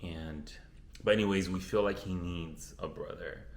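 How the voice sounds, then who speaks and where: In a Spanish accent, a man talks with a very deep, low pitch and vocal fry, with audible room echo around him. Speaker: beauty vlogger. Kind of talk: casual chat. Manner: casual, with fillers and restarts.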